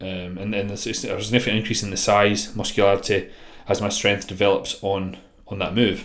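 A man talks very fast in a Scottish accent. His fairly low voice stays flat and monotone. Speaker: bodybuilding coach and podcast host. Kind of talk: solo podcast monologue.

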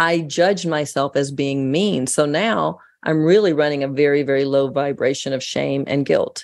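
A woman with an American accent speaks in a very deep, low pitch with ordinary pitch variation. Her pace is moderate, with hardly any pauses. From United States. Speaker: author and radio host.

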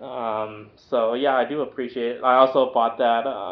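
A man talks fairly slowly, his intonation fairly even. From Southern California, North Orange County. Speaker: podcast co-host, realtor. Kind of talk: casual chat.

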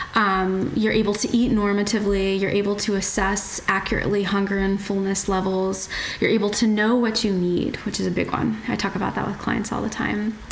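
A woman speaks fairly quickly in a monotone, flat delivery, with hardly any pauses. Noticeable background noise and audible room echo fill the recording. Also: medium pitch for a woman. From West Virginia, US. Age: 30s. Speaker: dietitian and professional trail runner. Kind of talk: casual interview.

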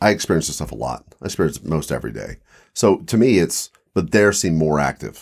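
Using an American accent, a man talks at a very deep, low pitch and a fairly quick pace, with vocal fry. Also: very clean recording, silent background. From Mid-Atlantic US, Eastern Shore of Maryland/Virginia. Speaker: paranormal enthusiast, expedition companion. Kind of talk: casual chat.

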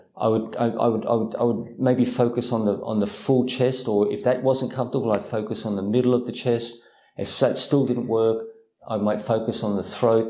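A man talks at a moderate pace and a medium pitch, with monotone, flat intonation. Room echo is audible. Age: 50s. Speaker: Buddhist monk and meditation teacher. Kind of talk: guided meditation instruction and Q&A. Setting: video call. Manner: halting, many fillers and repetitions.

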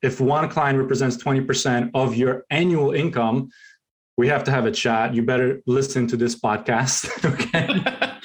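A man with a non-native accent, medium pitch, very even loudness, fairly even intonation and a fairly slow pace. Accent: foreign. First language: not English. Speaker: real estate agent. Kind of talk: interview.

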